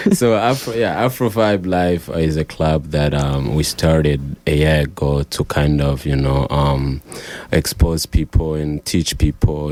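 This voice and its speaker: Against noticeable background noise, a man talks in a very deep, low voice. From Rwanda. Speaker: singer-songwriter. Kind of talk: radio interview.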